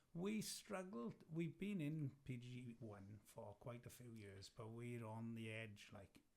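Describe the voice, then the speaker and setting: In a South Wales accent, a man talks at a very slow pace with lively intonation. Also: medium pitch for a man, hardly any pauses. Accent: South Wales valleys. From South Wales (Merthyr valley). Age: 50s. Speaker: lawn bowls player. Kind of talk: casual chat.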